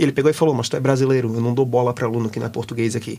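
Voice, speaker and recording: A man talks at a very fast pace. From Brazil. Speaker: exchange student. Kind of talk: interview. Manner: animated.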